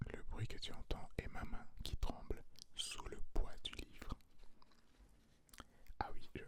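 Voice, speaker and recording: A man's very slow whispering, full of long, frequent pauses. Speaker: ASMR artist. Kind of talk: ASMR whisper to viewer for sleep. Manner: whispered, soft.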